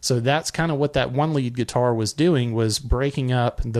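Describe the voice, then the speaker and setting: A man with a medium pitch and ordinary pitch variation, in a Southern US accent. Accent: Southern drawl. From Alabama, US South. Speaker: music reviewer, live stream host. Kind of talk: live stream song review. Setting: live stream.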